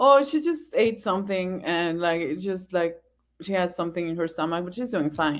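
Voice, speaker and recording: A woman speaks at a moderate pace with a non-native accent and a fairly low pitch. Her pitch variation is ordinary, and the recording is very clean with a silent background. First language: not English. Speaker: fellow content creator guest on live stream. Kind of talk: casual chat.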